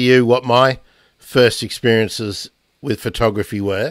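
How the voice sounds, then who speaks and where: In a dry sound with no echo and a quiet background, a man with an Australian accent speaks at a fairly slow pace. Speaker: podcast host. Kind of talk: casual chat. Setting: video call. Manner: halting. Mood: relaxed, friendly. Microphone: studio mic.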